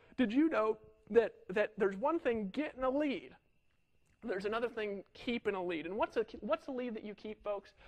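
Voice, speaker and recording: A man speaks at a fairly quick pace in a high voice, with lively intonation and an animated tone. The sound is dry and close, with no echo. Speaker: online marketing trainer. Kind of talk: sales training talk. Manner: fast.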